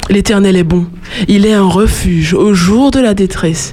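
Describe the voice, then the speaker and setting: Against noticeable background noise, a woman of medium pitch speaks at a very slow pace. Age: 20s. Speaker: student and slam poet. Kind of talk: slam poetry performance.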